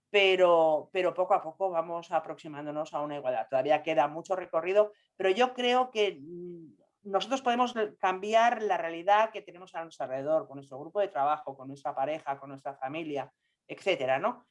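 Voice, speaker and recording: A woman talks at a fairly quick pace. Her pitch is fairly low and her intonation lively. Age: 60s. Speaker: scientist. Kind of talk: panel discussion. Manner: halting.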